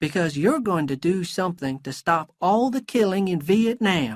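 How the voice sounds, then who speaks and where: In a put-on character voice with high pitch and lively intonation, a man speaks at a moderate pace in a dry, close sound with no echo. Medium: read story.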